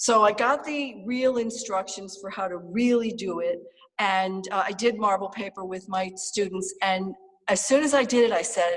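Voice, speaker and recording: This woman has an ordinary speaking voice at a medium pitch. She talks at a moderate pace with ordinary pitch variation. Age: 60s. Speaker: artist. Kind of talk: artist talk. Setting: video call. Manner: casual, many fillers.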